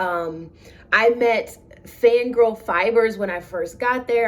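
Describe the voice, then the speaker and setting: In an animated tone, a woman speaks at a fairly high pitch and a fairly slow pace. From US South. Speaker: knitting podcaster. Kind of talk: casual podcast monologue.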